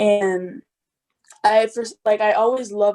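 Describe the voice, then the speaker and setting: A woman's dark, mellow voice, flat and monotone, in a dry, close recording with no echo. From outside the US. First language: not English. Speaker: college student. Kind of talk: casual chat. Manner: hesitant, filler-heavy.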